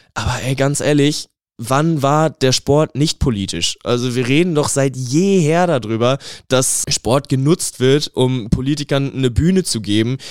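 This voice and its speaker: Here is a man with an unremarkable speaking voice, fairly high in pitch, with ordinary pitch variation and a fairly slow pace. The recording is very clean and dry, close with no echo, on a silent background. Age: 20s. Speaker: sports student and football fan. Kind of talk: interview.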